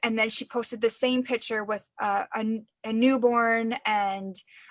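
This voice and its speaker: A woman talks at a fairly slow pace in a fairly high pitch with monotone, flat intonation. The recording is very clean, with a silent background. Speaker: direct sales team trainer. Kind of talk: casual training chat. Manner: casual, many fillers.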